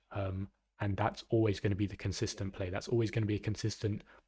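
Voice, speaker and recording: A man's very fast, fairly low, somewhat breathy voice with an English accent, dark and mellow in tone, monotone and flat in intonation, on a very clean recording with a silent background. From England. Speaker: gaming streamer and coach. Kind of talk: live stream coaching chat. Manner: halting, many fillers and repeats.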